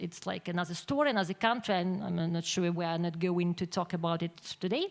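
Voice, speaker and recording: A woman speaks with a Ukrainian accent. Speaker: magazine publisher. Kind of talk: conference presentation. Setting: conference with audience. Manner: halting.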